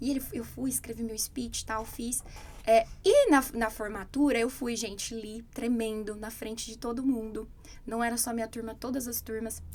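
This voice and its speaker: A woman's normal speaking voice, fairly high in pitch, with fairly even intonation, big swings in loudness and a moderate pace. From Brazil. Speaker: English teacher. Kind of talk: casual chat.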